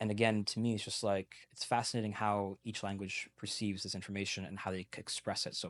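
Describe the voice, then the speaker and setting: At a fairly quick pace with hardly any pauses, a man speaks at a fairly low pitch, the sound dry and close with no echo and the background quiet. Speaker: language learner, multilingual podcast guest. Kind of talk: interview conversation. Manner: fast; animated.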